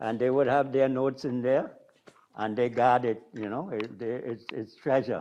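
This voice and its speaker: Here a man speaks at a medium pitch. His intonation is flat and monotone. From Trinidad. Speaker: drummer. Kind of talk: panel discussion.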